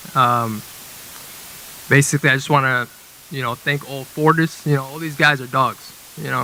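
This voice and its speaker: Noticeable background noise under a man's fairly high voice, delivered at a fairly quick clip. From Gaza, Palestine. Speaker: Muay Thai fighter. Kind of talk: pre-fight interview.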